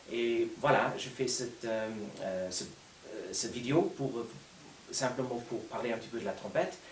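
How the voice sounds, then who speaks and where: With a Luxembourgish accent, a man talks at a moderate pace amid noticeable background noise and audible room echo. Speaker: orchestral trumpet player and teacher. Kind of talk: unedited casual video talk. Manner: hesitant, many fillers.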